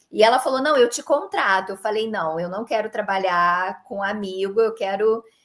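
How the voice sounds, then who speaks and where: A woman speaks at a moderate pace with a Rio de Janeiro accent. Her intonation is lively. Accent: carioca accent, noticeable. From Rio de Janeiro, Brazil. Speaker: creator economy consultant, former dentist. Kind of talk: interview conversation.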